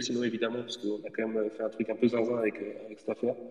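Noticeable background noise is heard while a man is speaking. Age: 30s. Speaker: manga publisher. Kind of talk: casual interview. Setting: online audio space from home office. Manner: animated. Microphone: echo from empty room.

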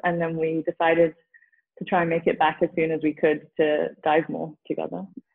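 Intonation stays fairly even in this voice with a London accent. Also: woman, fairly low pitch for a woman, moderate pace. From England, Southeast London. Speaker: yoga teacher. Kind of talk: interview conversation. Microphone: poor connection, overlapping audio.

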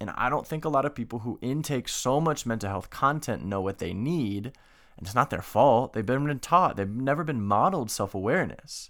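Over a silent background in a very clean recording, a man speaks in a plain, everyday voice. He keeps a moderate pace with lively intonation. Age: 20s. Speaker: podcast host. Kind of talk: solo monologue podcast. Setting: video recording.

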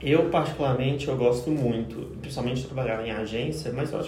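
A man talks at a very fast pace. His pitch is medium, and there is audible room echo. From Goiás interior, Brazil. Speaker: social media professional. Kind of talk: casual chat.

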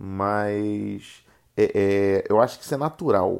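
Fairly low male voice in a Rio de Janeiro accent, on a very clean recording with a silent background. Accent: carioca. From Rio de Janeiro, Brazil. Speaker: podcast host. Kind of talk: casual solo monologue. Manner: halting, many fillers.

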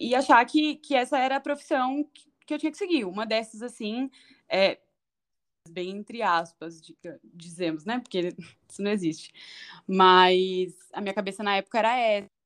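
Speaking at a moderate pace with long, frequent pauses, a woman with a fairly high pitch uses lively intonation against a quiet background. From Brazil, São Paulo (north zone). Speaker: chef. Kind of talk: interview.

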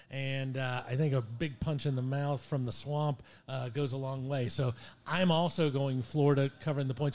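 Fairly high pitch from a somewhat breathy man at a moderate pace, in a very clean recording with a silent background. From Ohio. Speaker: sports talk co-host. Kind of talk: casual chat.

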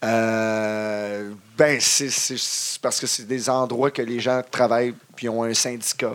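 With a Quebec accent, a man talks at a very slow pace and medium pitch in a monotone, flat delivery. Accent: Québécois French. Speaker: wrestling ring announcer. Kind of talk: casual chat. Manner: halting.

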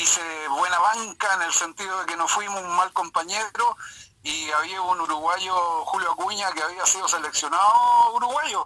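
A man with a high voice for his sex talks in a raised, projected way at a moderate pace, with ordinary pitch variation. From Chile, Lota mining area. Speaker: retired football goalkeeper. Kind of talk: phone interview reminiscing. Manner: halting, many repetitions.

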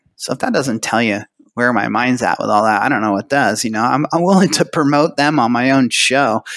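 A man with an American accent has a plain, everyday voice of medium pitch and ordinary variation. He talks at a fairly quick pace, in a dry, close sound with no echo. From California. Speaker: retirement plan business owner. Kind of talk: interview. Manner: casual.

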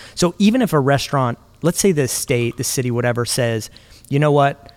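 An ordinary speaking voice, with lively intonation at a fairly quick pace, is heard on a very clean recording with a silent background. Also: man. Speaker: podcast host. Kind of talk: casual discussion with scripted intro. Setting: makeshift studio.

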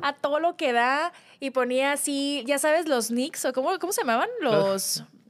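A woman's lively intonation comes across at a fairly slow speed. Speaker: podcast co-host. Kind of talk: casual chat.

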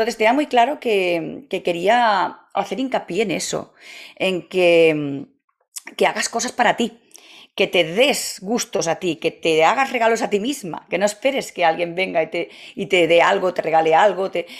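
Using a plain, everyday voice, a woman talks at a medium pitch with lively intonation. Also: fairly slow pace. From Catalonia, Spain. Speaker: travel agency founder. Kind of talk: interview.

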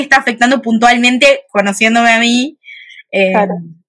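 Her voice is fairly high in pitch with a bright, sharp tone, and this woman uses ordinary pitch variation. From Uruguay, Montevideo. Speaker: psychologist. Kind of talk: casual interview on a live video stream. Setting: live video stream.

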